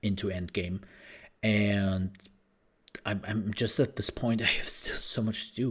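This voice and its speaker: The recording is very clean, with a silent background. A man speaks in a fairly low voice at a fairly slow pace. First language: not English. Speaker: gaming podcaster. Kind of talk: solo podcast commentary. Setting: home recording at night. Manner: animated.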